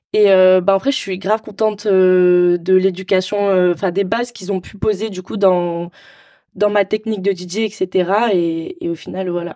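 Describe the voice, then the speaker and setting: In a dark, mellow tone, a woman speaks at a medium pitch and a fairly slow pace with monotone, flat intonation. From Marseille, southern France. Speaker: DJ. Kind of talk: casual interview.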